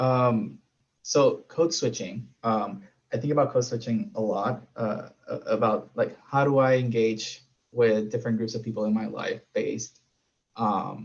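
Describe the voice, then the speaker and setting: With a Spanish accent, a man speaks at a fairly slow pace. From Puerto Rico. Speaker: panelist. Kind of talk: panel discussion.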